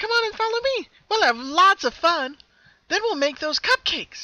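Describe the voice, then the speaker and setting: A put-on character voice, female-sounding, at an extremely high pitch for a woman, with very wide pitch swings and a moderate pace. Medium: read story. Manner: chipper, cheerful.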